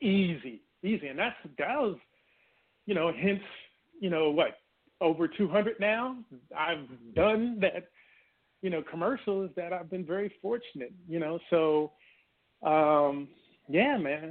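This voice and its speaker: In an American accent, the speaker talks at a very slow pace with lively intonation and long, frequent pauses. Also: man, high pitch for a man. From Washington D.C. and Maryland area. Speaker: novelist and actor. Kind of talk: casual interview.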